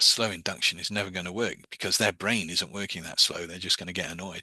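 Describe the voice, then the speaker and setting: A man speaks very fast in a very deep, low pitch with monotone, flat intonation and a bright, sharp tone. The sound is dry and close with no echo, over a quiet background. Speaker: hypnosis and meditation teacher. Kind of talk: online class. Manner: hesitant, many fillers.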